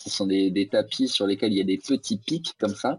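A man speaks at a moderate pace with a fairly low pitch. The sound is dry and close, with no echo. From Alsace, France (Strasbourg). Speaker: fitness coach and yoga teacher. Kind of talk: interview. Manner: hesitant, many fillers.

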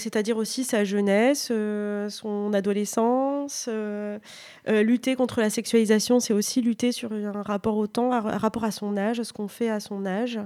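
A woman's fairly slow, fairly high-pitched voice with a dark, mellow tone and flat, monotone intonation. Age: 30s. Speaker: author. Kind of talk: interview.

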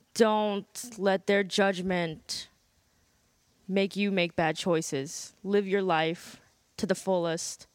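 In an American accent, a woman speaks at a very slow pace with medium pitch and ordinary pitch variation. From US North. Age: 30s. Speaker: interview guest. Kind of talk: casual interview.

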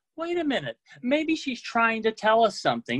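A man with an American accent speaks at a fairly slow pace. The sound is dry and close with no echo, against a quiet background. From US South (Oklahoma, Texas, Mississippi). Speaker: book editor, storyteller. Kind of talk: personal storytelling. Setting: video call.

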